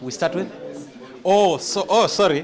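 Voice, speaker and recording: A man speaks with ordinary pitch variation amid noticeable background noise and audible room echo. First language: not English. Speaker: master of ceremonies. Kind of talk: ceremony speech.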